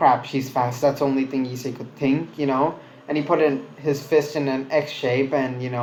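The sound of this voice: An unforced reading voice holds a fairly even intonation throughout.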